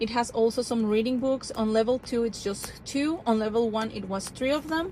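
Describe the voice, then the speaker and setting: A woman speaks in a Spanish accent at a moderate pace. Her pitch is fairly high, with ordinary variation. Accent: non-native English, Spanish. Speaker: homeschooling parent. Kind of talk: casual product review vlog. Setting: in a car. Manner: casual, with frequent fillers and restarts.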